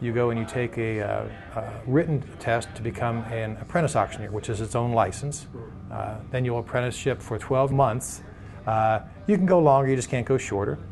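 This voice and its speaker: A somewhat breathy man's voice at a medium pitch, with ordinary pitch variation and a moderate pace. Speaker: auctioneering school operator. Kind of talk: interview answer.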